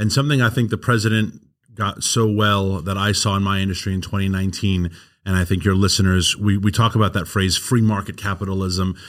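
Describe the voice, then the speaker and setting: A man speaks with a strong New York accent, his fairly low voice keeping a fairly even intonation. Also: fairly quick pace, very clean recording, silent background. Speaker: energy advocacy nonprofit founder.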